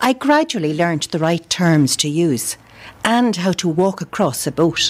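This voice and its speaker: A woman with a fairly low pitch uses lively intonation. She goes at a fairly slow pace. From Dublin. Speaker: amateur writer. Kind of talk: reading aloud.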